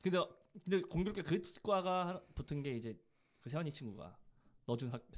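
A man talks at a fairly quick pace in a high pitch with lively intonation. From Korea, Daejeon. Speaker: podcast co-host. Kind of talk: casual chat.

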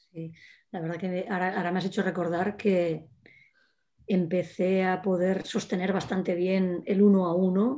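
This woman's voice has a dark, mellow tone and medium pitch. She speaks at a fairly slow pace. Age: 50s. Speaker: former trainee of a creativity course. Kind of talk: casual chat.

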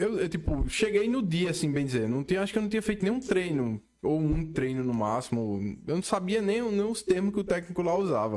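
Speaking at a fairly quick pace, a man with a high voice swings his pitch very widely. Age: 30s. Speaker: podcast host. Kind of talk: casual interview. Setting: studio.

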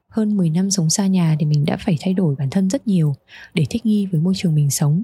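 With a Hanoi accent, a woman talks at a fairly quick pace in a fairly low pitch with lively intonation. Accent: Hanoi Vietnamese. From Hanoi, northern Vietnam. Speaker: podcast host. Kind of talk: scripted narration.

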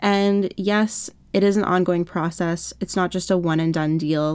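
On a very clean recording with a silent background, a woman with a Canadian accent uses an ordinary speaking voice at a medium pitch with fairly even intonation. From Canada. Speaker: lifestyle blogger and podcaster. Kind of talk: casual solo podcast monologue.

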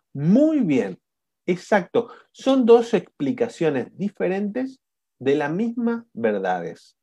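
Speaking at a very slow pace, a man with a high-pitched voice and a dark, mellow tone moves through very wide pitch swings. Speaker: coaching instructor. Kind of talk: online class. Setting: video call. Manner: animated.

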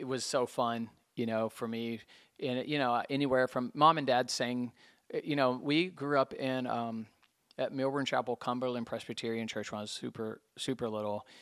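Heard in a very clean recording with a silent background, a normal speaking voice moves at a moderate pace with fairly even intonation. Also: man, medium pitch for a man. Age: 50s. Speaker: music store owner. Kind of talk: testimony. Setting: music store.

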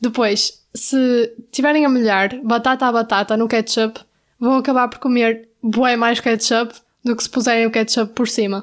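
Fairly slow and monotone, a woman speaks with flat intonation and a fairly high pitch in a European Portuguese accent. The recording is very clean, with a silent background. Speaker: podcast co-host, university student. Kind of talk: casual chat. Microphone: new microphone.

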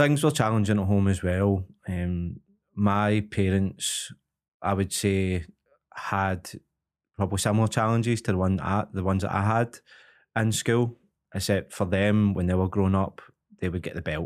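A man with a Glaswegian accent and a fairly low voice speaks with long, frequent pauses in a very clean recording with a silent background. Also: moderate pace. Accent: Glaswegian Scottish. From Glasgow, Scotland. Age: 30s. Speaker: MMA fighter and coach. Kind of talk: casual interview chat. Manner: halting, many repetitions.

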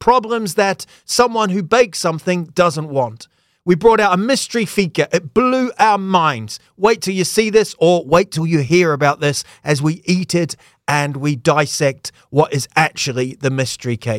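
In a very clean recording with a silent background, a man talks at a moderate pace in a high, animated voice with very wide pitch swings. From England-born, raised in New Zealand. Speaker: comedian and podcast host. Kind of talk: casual interview chat. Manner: jokey, animated.

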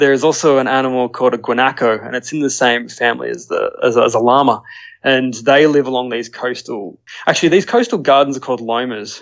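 A man speaks at a fairly quick pace with an Australian accent. His intonation is fairly even. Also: medium pitch for a man. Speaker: nature photographer. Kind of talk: casual interview.

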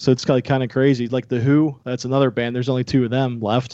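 This man speaks with a Pittsburgh accent in a dark, mellow tone. His intonation is monotone and flat, and his pace is fairly quick. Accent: western Pennsylvania (Pittsburgh). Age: 40s. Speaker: podcast guest, music and baseball fan. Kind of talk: casual chat.

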